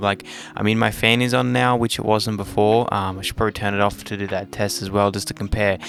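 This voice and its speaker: A man with an Australian accent talks at a fairly quick pace over noticeable background noise. His pitch is fairly low, with ordinary variation. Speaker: tech youtuber. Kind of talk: product unboxing review. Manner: casual, filler-heavy. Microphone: new dynamic mic, quiet at max gain.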